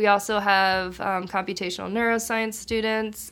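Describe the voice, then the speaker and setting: A woman with an ordinary speaking voice talks at a medium pitch and a moderate pace. The recording is very clean, with a silent background. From Maryland, US. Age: 20s. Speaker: biomedical engineering PhD student. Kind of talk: casual interview.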